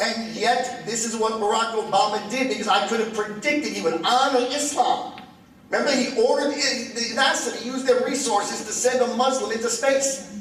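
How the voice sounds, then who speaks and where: An American accent comes from a man with an extremely high pitch and ordinary pitch variation, with audible room echo and noticeable background noise. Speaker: comedian and political speaker. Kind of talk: lecture. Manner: fast.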